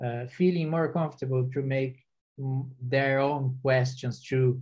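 Speaking with a Brazilian accent, this man has a fairly high pitch and a monotone, flat intonation. The background is quiet. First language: Portuguese. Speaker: software engineer; panelist. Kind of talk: panel discussion. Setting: online video webinar. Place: home room. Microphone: video call.

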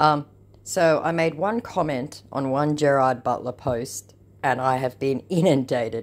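The woman's pitch is very deep and low. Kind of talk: casual commentary reading messages.

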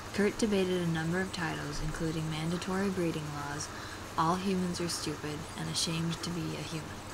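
A woman speaks fairly quickly while noticeable background noise carries on. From Oklahoma, US South. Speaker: vlogger. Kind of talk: book passage reading. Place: home room. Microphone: earbuds.

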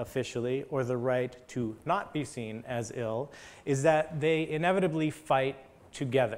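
Here a man speaks at a fairly slow pace. His pitch is fairly high. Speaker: history of science lecturer. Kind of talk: academic lecture. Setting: stage with audience. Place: hall. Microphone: lapel.

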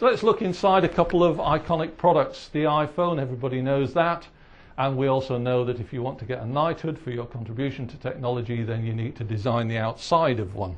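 At a very fast pace, a man with a medium pitch speaks with lively intonation and a somewhat breathy sound. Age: 60s. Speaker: retired engineer, visiting professor. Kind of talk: lecture. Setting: stage with audience. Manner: halting.

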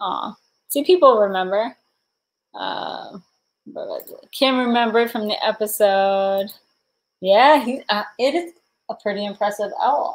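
A woman's fairly high, animated voice with lively intonation, fairly slow pace and long, frequent pauses. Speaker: livestreamer and thrift reseller; livestreamer, thrift reseller. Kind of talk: casual livestream chat. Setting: livestream at home with chat. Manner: chatty, giggly, animated. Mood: cheerful, playful. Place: home room. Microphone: webcam.

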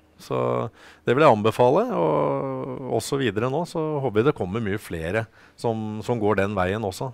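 A man is speaking here. His voice is fairly low in pitch. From Norway. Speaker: historic racing driver and parent; guest. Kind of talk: studio interview. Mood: calm, friendly. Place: studio. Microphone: headset.

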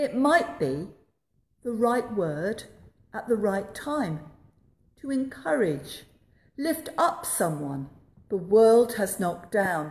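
A woman speaks at a very slow pace with long, frequent pauses, her somewhat breathy voice making very wide pitch swings. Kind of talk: sermon. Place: church. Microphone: phone near.

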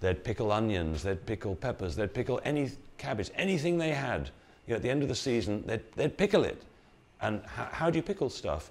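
With an English accent, a man speaks at a fairly quick pace, his pitch swinging very widely, with vocal fry. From England. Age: 60s. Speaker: health educator. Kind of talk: talk to live audience. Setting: room with live audience. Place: hall. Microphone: lapel.

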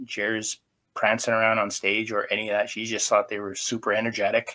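In a quiet background, a man speaks at a moderate pace with a bright, sharp tone. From Canada. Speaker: podcast co-host. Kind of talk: casual chat. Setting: video call. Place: home room.

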